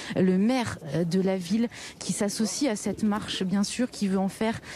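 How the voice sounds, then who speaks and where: Against noticeable background noise, a woman with a medium-pitched voice talks with fairly even intonation. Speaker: field reporter. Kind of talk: live news report. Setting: outdoors at a memorial march. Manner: soft-spoken.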